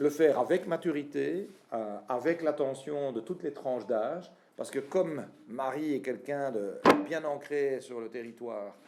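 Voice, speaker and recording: Dark and mellow in tone, a man speaks at a fairly slow pace. His pitch is fairly high, with ordinary variation. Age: 40s. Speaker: party leader and politician. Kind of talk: political speech. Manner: hesitant, frequent filler sounds.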